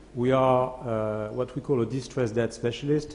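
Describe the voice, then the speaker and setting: Over audible room echo, a man talks at a moderate pace and medium pitch in a dark, mellow tone with monotone, flat intonation. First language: French. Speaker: asset management CEO. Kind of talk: conference presentation. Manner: hesitant, many fillers.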